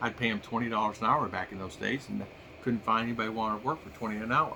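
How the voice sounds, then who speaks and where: This very fast speaker has an American accent, a bright, sharp tone and vocal fry. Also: man, medium pitch for a man. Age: 60s. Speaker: vlogger. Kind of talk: casual monologue. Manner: halting.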